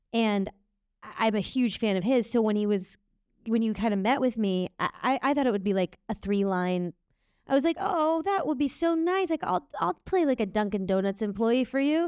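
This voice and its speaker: The voice holds a very even loudness while making very wide pitch swings, with a dry, close sound and no echo. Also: woman, fairly high pitch for a woman, moderate pace. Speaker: actress. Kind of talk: panel Q&A. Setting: stage with audience. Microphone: mic held very close to mouth.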